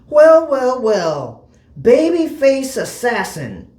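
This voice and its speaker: A man's put-on character voice, raspy and extremely high-pitched, with lively intonation at a very slow pace. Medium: read story. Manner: theatrical, charismatic.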